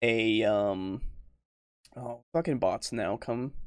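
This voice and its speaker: A man speaking at a very slow pace in a dry, close sound with no echo. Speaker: podcast host. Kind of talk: casual chat. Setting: online voice call. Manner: halting, many pauses and fillers.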